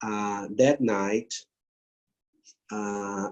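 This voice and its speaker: A man with a Brazilian accent speaks in a fairly low, dark, mellow voice with monotone, flat intonation. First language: Portuguese. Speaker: grief therapist and palliative care professor. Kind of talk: interview. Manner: halting non-native English.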